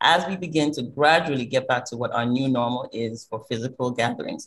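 This woman's voice has a somewhat breathy quality. She talks at a moderate speed. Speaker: event host. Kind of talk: formal welcome address. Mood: warm, welcoming. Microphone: video call.

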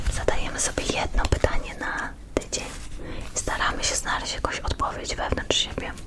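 A woman whispers at a moderate pace with noticeable background noise behind her. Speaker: ASMR creator. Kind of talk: ASMR card reading. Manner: whispered.

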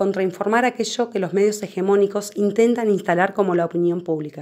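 Her pitch sits in the medium range. The woman's intonation remains fairly even. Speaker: activist channel presenter. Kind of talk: rally or protest speech, a fiery rallying call to local neighbors. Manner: impassioned, declamatory, firm and resolute; formal and scripted, direct appeals to the audience.

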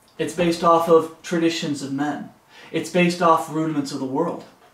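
The speech moves at a moderate pace, and room echo can be heard. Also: man. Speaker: home Bible teacher. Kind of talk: Bible study teaching. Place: home room. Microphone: camera far.

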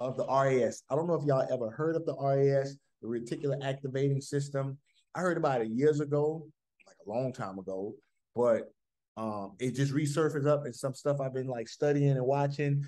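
A man speaks at a fairly quick pace in a dark, mellow tone with fairly even intonation. The background is quiet. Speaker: fitness coach leading group call. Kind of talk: motivational talk to group. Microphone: video call.

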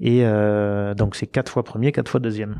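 At a moderate pace, a man speaks with a dark, mellow tone and a fairly low pitch. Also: quiet background. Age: 40s. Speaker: rally co-driver; guest. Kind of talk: casual interview. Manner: hesitant, with frequent filler words. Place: studio. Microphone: handheld.

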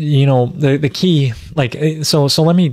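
A somewhat breathy voice comes through with a dry sound, no echo, and a quiet background. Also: man. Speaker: natural farming host. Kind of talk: lecture. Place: home room. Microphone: studio mic.

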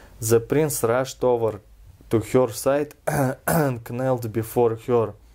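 A man speaks in a Russian accent at a very slow pace. His intonation is fairly even, and the background is quiet. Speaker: reader of a fairy tale. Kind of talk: storybook reading. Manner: relaxed. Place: home room. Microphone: camera far.

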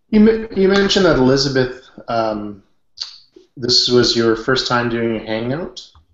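Audible room echo surrounds speech at a fairly slow pace over a quiet background. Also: man, medium pitch for a man. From western Canada. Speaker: online business consultant; hangout host. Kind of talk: group video chat. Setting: video call. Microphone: webcam.

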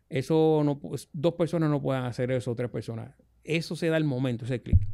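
The man's intonation is lively. Little sound comes from behind him. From Puerto Rico, Ponce; Puerto Rico. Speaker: radio host. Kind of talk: casual chat. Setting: studio. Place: studio. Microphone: studio mic.

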